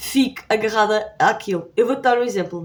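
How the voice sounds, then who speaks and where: A woman's fairly high-pitched voice with a European Portuguese accent. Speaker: YouTuber. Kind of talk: tutorial. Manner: fast; casual.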